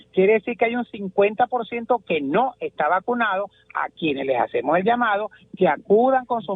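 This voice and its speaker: Moving at a fairly quick pace, a man speaks with a high pitch and ordinary pitch variation. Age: 60s. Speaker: pediatrician. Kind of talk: radio interview.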